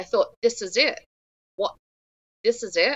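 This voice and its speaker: A woman speaks with an English accent. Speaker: founder of a stillbirth support nonprofit. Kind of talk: interview.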